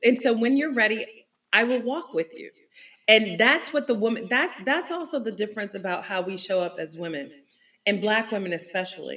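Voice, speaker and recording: Bright and sharp in tone, a woman with an American accent speaks at a fairly quick pace in a fairly high pitch, with very wide pitch swings and big swings in loudness. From Newark, New Jersey. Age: middle-aged. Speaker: entrepreneur. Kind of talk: casual chat.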